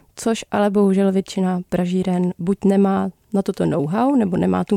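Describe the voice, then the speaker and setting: A woman speaks at a fairly quick pace with a medium pitch and a dark, mellow tone, in a dry, close recording with no echo, very clean with a silent background. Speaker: barista and coffee course instructor. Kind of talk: casual interview.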